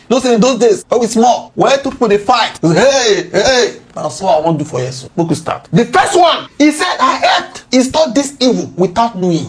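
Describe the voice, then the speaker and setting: Noticeable background noise runs under speech that has hardly any pauses. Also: moderate pace. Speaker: political commentator. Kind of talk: casual commentary lecture.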